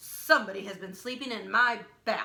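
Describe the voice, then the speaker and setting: Putting on a growling character voice, a woman speaks with a fairly high pitch. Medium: read story. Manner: shouting, indignant.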